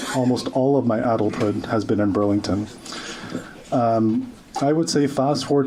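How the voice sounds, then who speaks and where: Moderate pace and fairly even intonation, with audible room echo and noticeable background noise. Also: man. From grew up in Oakville, Ontario, Canada; refugee immigrant. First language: not English. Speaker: social media commentator. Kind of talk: rally speech. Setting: stage with audience.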